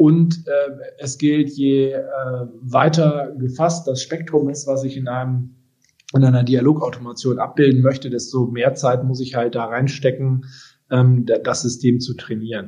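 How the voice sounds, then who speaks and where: A man speaks at a fairly slow pace with fairly even intonation and a medium pitch. His tone is dark and mellow, and somewhat breathy. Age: 30s. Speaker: tech company executive. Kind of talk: interview. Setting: home office, remote call.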